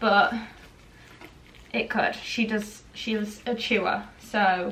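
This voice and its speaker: A woman's voice comes through with clear noise behind it. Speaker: vlogger. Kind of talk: casual vlog talk to camera.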